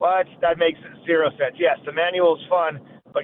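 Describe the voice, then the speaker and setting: A man with a fairly high pitch and an ordinary speaking voice, at a moderate pace. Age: 50s. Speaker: firearms trainer. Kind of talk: interview. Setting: phone call.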